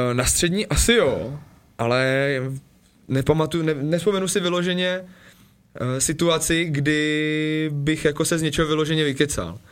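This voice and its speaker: A man talks with a fairly high pitch and ordinary pitch variation. Behind him, music is playing. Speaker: professional soldier and former biathlete. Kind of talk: casual chat. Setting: radio studio. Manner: fast.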